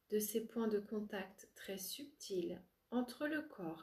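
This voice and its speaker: A woman speaks at a very slow pace in a calm, soothing, somewhat breathy voice. Her fairly high pitch carries a dark, mellow tone and ordinary variation. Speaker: spiritual coach and relaxation therapist. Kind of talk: yoga nidra guided relaxation. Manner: slow, calm, soothing, with long pauses.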